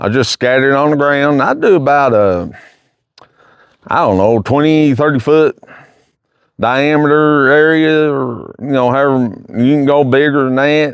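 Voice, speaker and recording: The speaker has a Kentucky accent. The pace is moderate. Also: man. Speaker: hunting vlogger. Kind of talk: casual vlog. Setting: outdoors in the woods. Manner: halting, hesitant.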